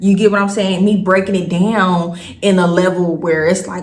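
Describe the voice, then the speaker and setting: A woman speaks at medium pitch and a moderate pace. Her intonation is monotone and flat, with noticeable background noise. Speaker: storytime vlogger. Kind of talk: casual storytelling vlog. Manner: casual, conversational.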